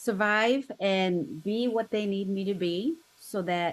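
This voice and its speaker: A woman of medium pitch speaks with a Korean accent. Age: 50s. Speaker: interview guest sharing life story. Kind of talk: podcast interview.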